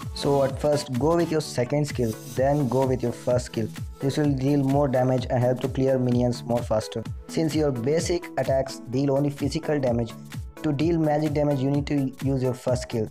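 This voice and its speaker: Someone with a non-native accent speaks at a moderate pace with music in the background. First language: not English. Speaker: mobile game guide creator. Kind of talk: gaming tutorial voice-over.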